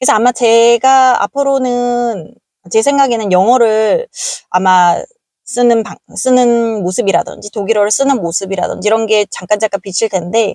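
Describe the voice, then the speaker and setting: A woman's voice, fairly high in pitch with a dark, mellow tone, ordinary pitch variation and a moderate pace, dry and close with no echo. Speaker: vlogger. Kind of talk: casual vlog talk. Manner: hesitant, many fillers.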